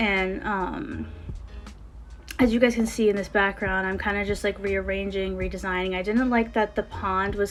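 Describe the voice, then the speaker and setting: With an American accent, a woman speaks at a moderate pace and medium pitch. Her intonation is fairly even, and background noise is noticeable. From Connecticut, US. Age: 20s. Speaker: gaming YouTuber. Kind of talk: casual gameplay commentary. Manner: hesitant, many fillers.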